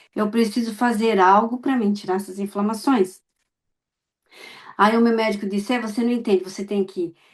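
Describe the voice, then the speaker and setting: A woman with a plain, everyday voice speaks at a moderate pace with fairly high pitch and ordinary pitch variation, the background quiet. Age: 60s. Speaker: immigrant client giving testimonial. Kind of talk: testimony.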